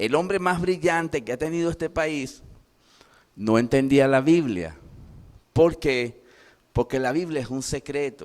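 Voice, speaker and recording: A fairly high-pitched man, animated in tone, at a fairly slow pace with long, frequent pauses and ordinary pitch variation. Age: 60s. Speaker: pastor. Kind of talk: sermon.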